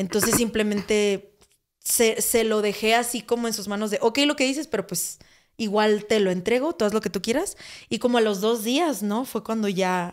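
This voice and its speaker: A woman talks in a normal speaking voice, fairly high-pitched, with ordinary pitch variation at a moderate pace. The recording is very clean with a silent background. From Mexico, Sonora (Hermosillo). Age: 20s. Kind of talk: casual testimony chat.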